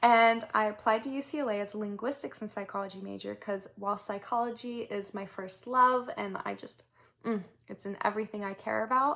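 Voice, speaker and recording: Her pitch is fairly high and her tone bright and sharp. The woman keeps a fairly quick pace with fairly even intonation. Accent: Southern California. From Southern California. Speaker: vlogger, recent university graduate. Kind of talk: personal storytelling vlog. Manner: casual with many filler words.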